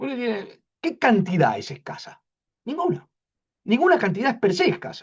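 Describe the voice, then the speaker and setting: Long pauses come often. Otherwise the pace stays moderate. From Argentina, Buenos Aires. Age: 60s. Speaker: philosophy lecturer. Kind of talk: academic talk. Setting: university colloquium.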